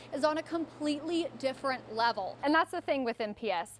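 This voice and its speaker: A woman talks at a fairly quick pace in a high pitch with lively intonation. Noticeable background noise runs under her voice. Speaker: TV news reporter. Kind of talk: TV news reporter live shot / package. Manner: clear, professional news delivery.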